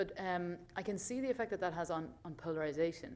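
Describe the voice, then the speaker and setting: This is a woman with an Irish accent. Her pitch is fairly low. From Ireland. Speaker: audience member, graduate student. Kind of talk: audience question. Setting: stage with audience. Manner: hesitant, many fillers.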